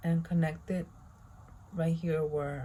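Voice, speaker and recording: In a very deep, low pitch, a woman speaks with a dark, mellow, somewhat breathy tone. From Spanish-speaking country. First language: Spanish. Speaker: beauty vlogger. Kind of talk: tutorial. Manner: casual.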